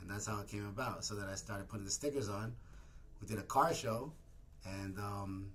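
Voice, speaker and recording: Amid audible room echo and noticeable background noise, a man with a New York accent talks at a fairly quick pace and fairly low pitch. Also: ordinary pitch variation. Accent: New York (Queens). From New York City, Woodside, Queens. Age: 40s. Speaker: barber and clothing brand owner. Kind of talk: casual interview chat. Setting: in a barbershop.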